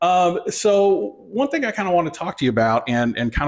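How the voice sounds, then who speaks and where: In a very clean recording with a silent background, a man with an American accent uses an ordinary speaking voice, with lively intonation and a fairly quick pace. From Michigan, US. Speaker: podcast host. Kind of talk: interview.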